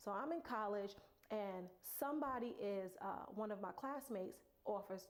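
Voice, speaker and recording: A woman with a New York accent and vocal fry. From Brooklyn, New York. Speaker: motivational speaker. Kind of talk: personal story, motivational talk. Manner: halting.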